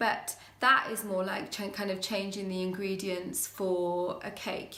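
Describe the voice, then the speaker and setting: The speaker has a British accent and fairly even intonation. Audible room echo and noticeable background noise are present. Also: woman. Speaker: witchcraft YouTuber. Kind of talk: casual vlog talk. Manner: hesitant, many fillers.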